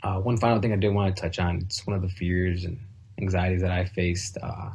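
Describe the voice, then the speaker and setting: A man with an American accent and a very deep, low pitch speaks somewhat breathily at a fairly quick pace with monotone, flat intonation. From US Midwest, Southwest Detroit. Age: 20s. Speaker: graduating student speaker. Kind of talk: graduation speech. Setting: home video call. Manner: hesitant, many filler words.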